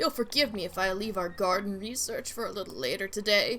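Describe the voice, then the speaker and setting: A put-on character voice from a woman, pitched in the medium range. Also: fairly quick pace. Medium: game stream. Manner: formal, genteel.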